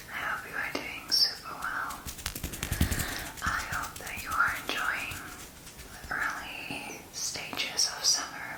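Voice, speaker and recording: A woman whispering at a very slow pace, with long, frequent pauses, amid noticeable background noise. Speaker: ASMR creator. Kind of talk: ASMR whispered rambling. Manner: whispered.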